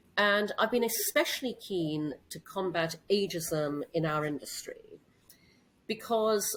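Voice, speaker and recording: An ordinary speaking voice from a woman, medium in pitch, with lively intonation. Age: 60s. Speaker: CEO and entrepreneur. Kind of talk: interview.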